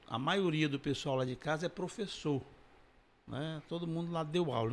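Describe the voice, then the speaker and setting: A man's fairly high-pitched voice, fairly quick in pace, with ordinary pitch variation and an ordinary speaking voice. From Ceará, Brazil (Massapê, near Sobral). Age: 60s. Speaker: comedian. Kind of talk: interview.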